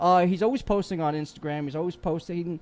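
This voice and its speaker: This man talks at a very fast pace in a high-pitched voice. His tone is animated. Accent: New York. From New York. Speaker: podcast host. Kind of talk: casual chat.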